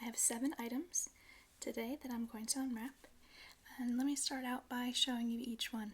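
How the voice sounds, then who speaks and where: Soft-spoken and high-pitched, a woman talks at a moderate pace. Her intonation is fairly even. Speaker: ASMR creator. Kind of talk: ASMR unboxing.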